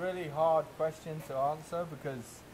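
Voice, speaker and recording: This man has a London accent and a somewhat breathy voice. He talks at a moderate pace with fairly even intonation. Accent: English (southern, London). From England. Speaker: chef. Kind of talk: interview. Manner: halting.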